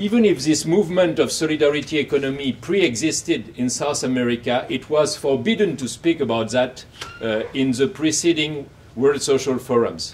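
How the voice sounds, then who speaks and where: A French accent at a moderate pace, with lively intonation and noticeable background noise. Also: man. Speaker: academic, book coeditor. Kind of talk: academic talk. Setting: university event with audience. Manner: halting, many fillers.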